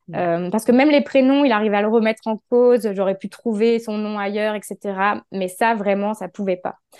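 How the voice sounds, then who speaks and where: A woman with an unremarkable speaking voice talks at a moderate pace with hardly any pauses, her fairly high pitch and fairly even intonation captured in a dry, close sound with no echo. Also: quiet background. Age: 30s. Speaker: holistic therapist. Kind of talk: interview testimony.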